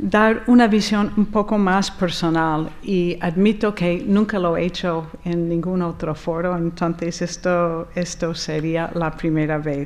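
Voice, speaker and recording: With an American accent, a woman speaks at a fairly low pitch and a very slow pace, with hardly any pauses. Her pitch variation is ordinary, and audible room echo surrounds her. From US, Rochester, New York. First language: English (speaking Spanish). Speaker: architect. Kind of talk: conference talk. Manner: hesitant, with fillers.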